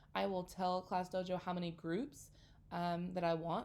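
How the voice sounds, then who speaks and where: A normal speaking voice is heard. It moves at a middling speed. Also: woman. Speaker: elementary school teacher. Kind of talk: tutorial. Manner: casual, friendly.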